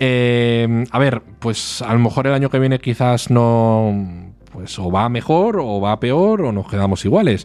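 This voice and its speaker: A man's medium-pitched voice at a very slow pace, with ordinary pitch variation and hardly any pauses. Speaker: podcast co-host. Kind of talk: casual chat.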